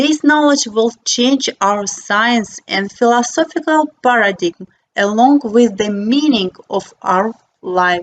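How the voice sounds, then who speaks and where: In a non-native accent, the speaker talks fairly slowly with lively intonation, in a dry, close sound with no echo. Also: woman. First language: not English. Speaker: architect and philosopher. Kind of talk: reading aloud. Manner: reading from paper.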